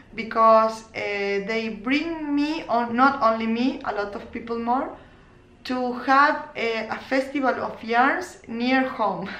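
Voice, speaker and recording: Very slowly, a woman speaks in a high, bright, sharp voice with ordinary pitch variation, and audible echo fills the room. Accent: non-native. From Argentina, Córdoba. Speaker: knitting podcaster and crochet teacher. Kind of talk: casual vlog podcast. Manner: halting, many fillers and restarts.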